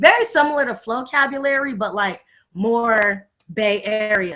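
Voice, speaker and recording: A loud woman's voice, bright and sharp in tone, with ordinary pitch variation. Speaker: youth advocate and hip hop artist. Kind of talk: casual chat. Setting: video call.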